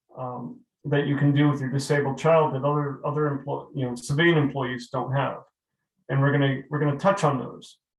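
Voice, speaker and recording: A somewhat breathy man with an American accent, fairly high pitch, fairly quick pace and monotone, flat intonation. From New England. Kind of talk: webinar presentation. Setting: webinar. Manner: fast.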